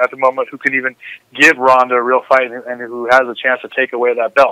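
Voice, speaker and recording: Very fast speech in a bright, sharp tone, dry and close with no echo. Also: man. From Southern California (South Orange County). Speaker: former MMA fighter and action sports athlete. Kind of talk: podcast interview.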